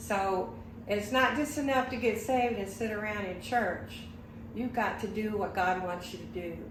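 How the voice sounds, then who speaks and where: A woman speaks at a fairly high pitch and fairly slow pace, with ordinary pitch variation. Audible room echo and noticeable background noise fill the recording. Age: 80s+. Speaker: churchgoer sharing scripture. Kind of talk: casual interview.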